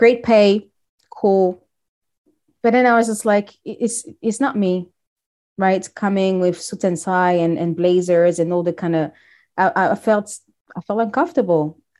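Speaking in a French accent, a woman with a dark, mellow tone and medium pitch moves at a fairly slow pace, with ordinary pitch variation and long, frequent pauses. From DR Congo (Kinshasa). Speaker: brand strategist. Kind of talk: casual interview. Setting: video call.

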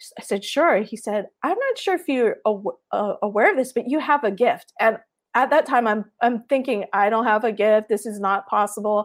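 A woman's fairly high voice in a Hawaiian accent, hardly any pauses, big swings in loudness. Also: ordinary pitch variation, moderate pace. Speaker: artist. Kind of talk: casual interview. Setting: video call.

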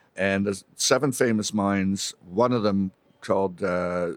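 An unremarkable speaking voice from a man, fairly low in pitch with fairly even intonation, in a dry, close sound with no echo. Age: 50s. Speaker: mining company CEO and geologist. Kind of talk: interview storytelling.

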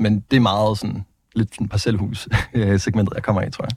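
A man with a fairly low pitch speaks at a moderate pace in a somewhat breathy voice. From Denmark, Vejle. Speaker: politician. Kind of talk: political interview. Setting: studio. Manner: halting.

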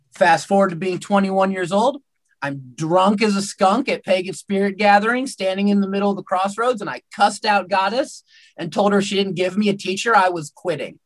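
A man with an American accent speaks at a moderate pace in a high pitch. His pitch varies in an ordinary way. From United States. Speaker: pagan priest. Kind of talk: interview.

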